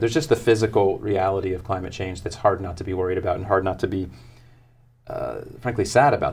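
A somewhat breathy man with an American accent, fairly low in pitch, at a very fast pace over light background noise. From US South, South Florida; Florida. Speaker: author and sustainability consultant; guest. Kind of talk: interview. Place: studio. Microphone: lapel.

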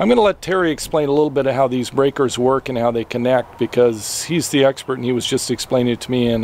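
A man speaks with fairly even intonation, his voice dry with no echo over light background noise. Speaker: van-dwelling vlogger. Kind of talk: casual vlog tutorial. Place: street. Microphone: phone near.

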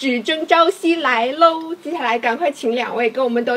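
A woman speaks with a high pitch and an animated tone, using ordinary pitch variation. There is light background noise. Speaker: livestream host. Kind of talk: hosting a promotional live stream. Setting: live stream studio. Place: studio.

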